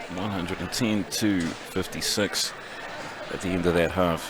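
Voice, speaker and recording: With a New Zealand accent and a very deep, low pitch, a man talks at a moderate pace with fairly even intonation amid noticeable background noise. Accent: Kiwi. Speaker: roller derby commentator. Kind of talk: live commentary.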